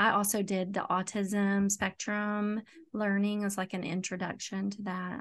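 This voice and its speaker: A woman's medium-pitched, monotone, flat delivery in an East Tennessee accent against a quiet background. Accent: East Tennessee Southern US. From Knoxville, Tennessee. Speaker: school social worker. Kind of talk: podcast interview.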